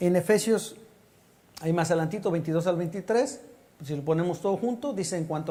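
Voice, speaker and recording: A man's high pitch and dark, mellow tone at a fairly quick pace, with audible room echo. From Mexico City. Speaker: pastor. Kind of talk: sermon.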